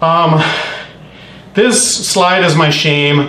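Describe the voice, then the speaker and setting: Audible room echo and noticeable background noise accompany a man. His pitch is fairly high, with ordinary variation. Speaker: meetup presenter. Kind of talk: technical presentation. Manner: halting, many fillers.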